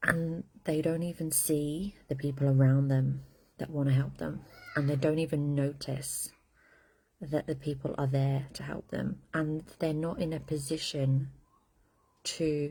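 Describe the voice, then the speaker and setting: A soft-spoken woman talks in a very deep, low voice with a dark, mellow tone. Her delivery is somewhat breathy and monotone, with flat intonation. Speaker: intuitive coach. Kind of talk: casual live stream monologue. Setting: outdoors. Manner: quiet, talking softly; halting, searching for words.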